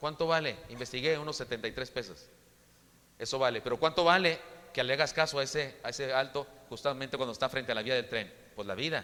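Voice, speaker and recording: Someone talks at a very fast pace in a bright, sharp tone. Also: man, medium pitch for a man, ordinary pitch variation. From Chihuahua, northern Mexico. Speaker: preacher. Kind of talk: sermon. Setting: church. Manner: halting, frequent repetitions.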